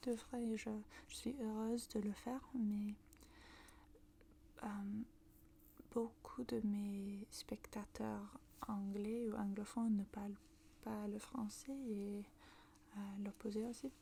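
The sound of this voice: Speaking slowly with long, frequent pauses, a woman with a northern British accent has a dark, mellow tone, vocal fry and little pitch movement. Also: medium pitch for a woman.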